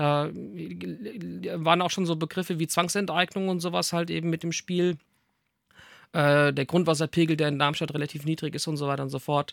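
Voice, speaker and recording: Recorded very cleanly against a silent background, with a dry, close sound and no echo, a man talks at a fairly high pitch with fairly even intonation. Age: 40s. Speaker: mayoral candidate for a satirical party. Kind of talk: interview. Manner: hesitant, many filler sounds.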